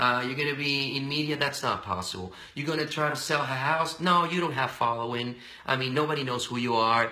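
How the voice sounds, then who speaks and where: A man talks at a fairly quick pace with ordinary pitch variation. Audible room echo surrounds his voice. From Venezuela. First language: Spanish. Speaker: radio and TV personality. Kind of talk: casual interview. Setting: live video stream. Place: office. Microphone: webcam.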